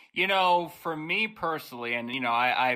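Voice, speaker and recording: The man's intonation is lively, on a very clean recording with a silent background. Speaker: podcast host. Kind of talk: podcast interview answer. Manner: loud.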